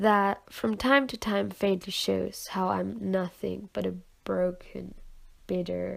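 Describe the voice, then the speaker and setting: Speaking very slowly in a non-native accent, a woman is heard on a very clean recording with a silent background. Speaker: poet. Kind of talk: slam poetry reading.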